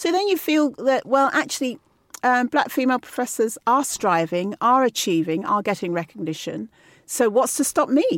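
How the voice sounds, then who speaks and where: Pitch swings very widely at a moderate pace, with very even loudness. The recording is very clean and dry, close with no echo, and the background is silent. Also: woman, high pitch for a woman. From Nigeria and UK. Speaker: pharmacy professor. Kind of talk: interview.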